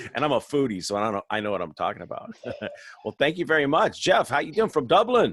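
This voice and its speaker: This man, with an American accent, talks very fast in a fairly high voice with very wide pitch swings and vocal fry, recorded dry and close with no echo. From Southern California. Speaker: webinar host. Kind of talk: casual chat. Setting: video call.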